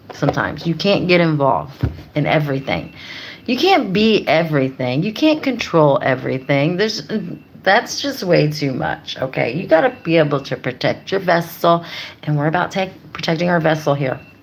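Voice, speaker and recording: A woman's very deep, low voice with lively intonation at a moderate pace, amid noticeable background noise. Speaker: YouTuber, life coach. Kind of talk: motivational livestream talk. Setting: livestream.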